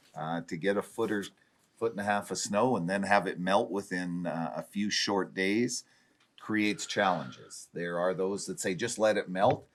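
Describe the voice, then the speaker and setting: A man with a western Canadian accent speaks at a moderate pace in a fairly low pitch with ordinary pitch variation. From Dawson Creek, northern British Columbia, Canada. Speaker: city chief administrator. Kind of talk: council meeting report.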